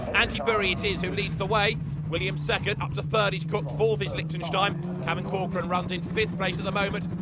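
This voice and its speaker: A man speaks at a fairly quick pace with a British accent and a high pitch. Noticeable background noise runs behind him. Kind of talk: race commentary. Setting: broadcast over race footage. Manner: fast, excitable play-by-play, rising with the action; informed and fluent, naming drivers, cars and corners.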